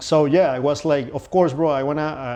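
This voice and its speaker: A man with a Venezuelan accent speaks at a fairly high pitch, his tone dark and mellow. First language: Spanish. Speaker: pianist. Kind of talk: interview. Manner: halting, with fillers and repetitions.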